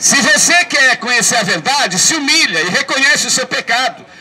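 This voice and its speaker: The voice is raised and projected, at a moderate pace. Noticeable background noise runs beneath it. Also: man. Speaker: street preacher. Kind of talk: street sermon to passers-by. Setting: outdoors, public square.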